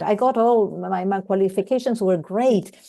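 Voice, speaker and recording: A woman with a Spanish accent and a dark, mellow tone. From Argentina. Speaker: focusing-oriented therapist. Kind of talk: casual chat.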